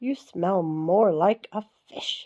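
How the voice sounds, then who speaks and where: A female-sounding voice performs a put-on character voice. Its pitch sits in the middle range. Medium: read story.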